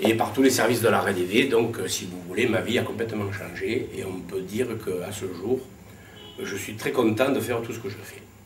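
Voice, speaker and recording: A man talks at a moderate pace in a medium pitch with fairly even intonation. His loudness swings widely, and music plays in the background. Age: 50s. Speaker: visually impaired rehab participant. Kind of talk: testimony. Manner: hesitant, many fillers.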